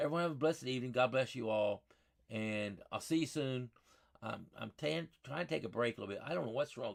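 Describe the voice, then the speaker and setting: This speaker has a Southern US accent and lively intonation. The pace is fairly quick. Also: man, medium pitch for a man. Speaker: weather channel host. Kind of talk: casual weather update. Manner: casual, folksy.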